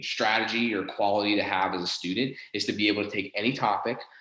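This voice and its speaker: The speaker has a Pittsburgh accent. Audible room echo is present. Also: man. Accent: Western Pennsylvania (Pittsburgh) American. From Southwestern Pennsylvania (Pittsburgh). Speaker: college professor. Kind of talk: lecture. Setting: live class presentation. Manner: many fillers and repetitions.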